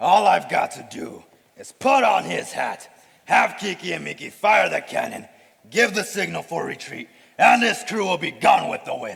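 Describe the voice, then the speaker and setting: A man puts on a character voice, talking at a moderate pace. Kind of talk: school play acting. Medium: stage play.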